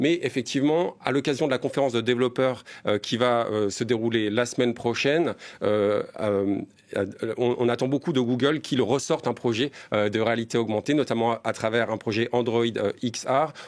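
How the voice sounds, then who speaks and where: The very clean recording has a silent background. A man at medium pitch talks with very even loudness. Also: ordinary pitch variation, moderate pace. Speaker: tech journalist. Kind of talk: TV interview. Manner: hesitant, many fillers.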